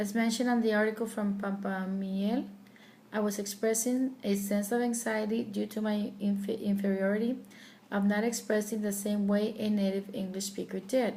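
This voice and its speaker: A woman with a fairly high pitch talks at a moderate pace in a somewhat breathy, dark, mellow tone. Her intonation is monotone and flat, and audible room echo is present. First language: Spanish. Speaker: student. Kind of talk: personal narrative. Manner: halting.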